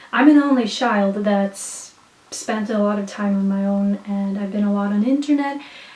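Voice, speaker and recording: Amid noticeable background noise and audible room echo, a woman speaks at medium pitch and a moderate pace with ordinary pitch variation. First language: Swedish. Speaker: vlogger and poet. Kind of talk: casual monologue vlog. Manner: animated.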